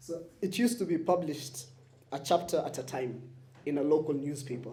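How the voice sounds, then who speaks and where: A dark, mellow, somewhat breathy voice with ordinary pitch variation and a fairly quick pace, plus audible room echo. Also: man. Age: young. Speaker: interviewer, digital producer. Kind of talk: public interview. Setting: live event at a bookshop with audience.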